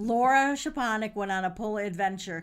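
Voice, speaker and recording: A woman with an American accent and a normal speaking voice talks at a fairly quick pace and fairly high pitch with ordinary pitch variation, in a very clean recording with a silent background. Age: 50s. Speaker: podcast host and caterer. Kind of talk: casual chat. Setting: studio.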